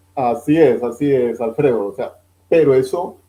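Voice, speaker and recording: The tone is dark and mellow, and the pace fairly slow. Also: man. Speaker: financial advisor. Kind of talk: interview.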